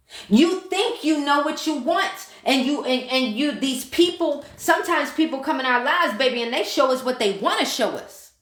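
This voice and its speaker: Loud and passionate, a woman with a high pitch speaks at a moderate pace in an animated tone with lively intonation. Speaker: manifestation and mindset coach. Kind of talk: live stream talk to viewers. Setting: live stream. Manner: passionate, animated.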